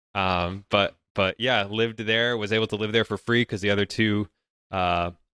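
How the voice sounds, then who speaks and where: A man speaks with a New England accent. His fairly low voice stays monotone and flat. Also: moderate pace. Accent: New England American. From New Hampshire, US. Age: 20s. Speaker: YouTuber and real estate investor. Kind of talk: podcast interview. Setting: remote call.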